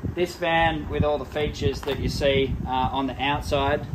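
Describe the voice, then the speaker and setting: A man at a moderate pace with ordinary pitch variation over loud background noise. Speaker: presenter. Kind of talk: product walkthrough. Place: street.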